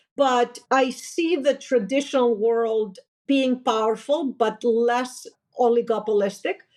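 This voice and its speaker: Talking at a fairly slow pace with a Greek accent, a woman uses a high pitch, ordinary pitch variation and very even loudness. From Greece. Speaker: finance executive, company founder. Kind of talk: interview conversation.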